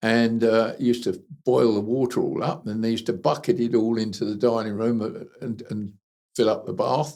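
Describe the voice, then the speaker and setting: In a southern English accent, a man speaks at medium pitch with a dark, mellow tone. His pace is moderate and his pitch variation ordinary. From southern England, Kent. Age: 80s+. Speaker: retired engineer and animal rescue consultant. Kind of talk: life story interview.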